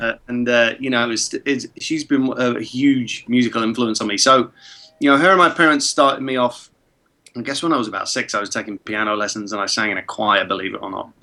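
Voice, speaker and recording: A man's medium-pitched voice at a fairly quick pace, with ordinary pitch variation and music in the background. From England, born in Prague. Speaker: film composer. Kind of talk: interview.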